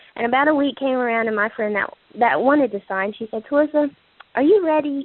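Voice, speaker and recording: A high-pitched, shaky woman's voice at a fairly quick pace, with ordinary pitch variation. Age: 20s. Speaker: direct sales distributor. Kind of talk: testimony. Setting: phone conference call. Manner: hesitant, many fillers.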